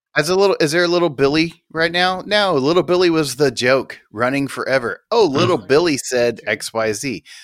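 A man with a plain, everyday voice, fairly high in pitch, with lively intonation at a fairly quick pace, hardly any pauses, and a very clean recording with a silent background. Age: 40s. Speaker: podcast co-host. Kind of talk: casual chat.

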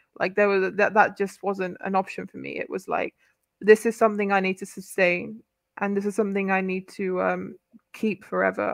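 Delivered at a fairly quick pace, the speech shows big swings in loudness. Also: woman. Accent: British. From UK. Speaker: convert to Islam, media professional. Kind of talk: casual chat.

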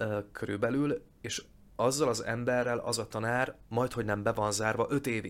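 Against a silent background on a very clean recording, a man speaks in a flat monotone. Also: medium pitch for a man, moderate pace. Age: 30s. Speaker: actor and voice actor. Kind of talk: casual interview.

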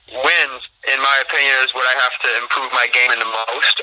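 Here a man with an American accent speaks at a fairly quick pace and medium pitch. He has a plain, everyday voice. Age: young. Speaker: college golfer. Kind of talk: casual chat.

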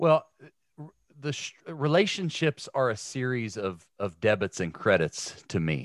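A man with an American accent speaks at a fairly slow pace in a medium pitch, his voice swinging very widely up and down, with a dry, close sound and no echo. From Ohio. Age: 40s. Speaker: former pro football player and sports broadcaster. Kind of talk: casual interview.

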